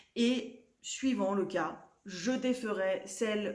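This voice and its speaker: A woman at a very slow pace with audible room echo. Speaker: knitting podcaster. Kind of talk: casual vlog chat. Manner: halting, many fillers.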